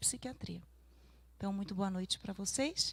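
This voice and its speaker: Speaking at a fairly quick pace in a Pará accent, a woman sounds somewhat breathy. Her pitch variation is ordinary. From Pará, northern Brazil. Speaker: psychologist. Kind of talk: lecture.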